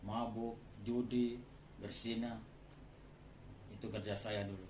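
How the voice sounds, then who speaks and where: At a very slow pace, a man with a medium pitch speaks in a monotone, flat intonation, with audible room echo and noticeable background noise. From Madura, Bangkalan. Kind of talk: testimony.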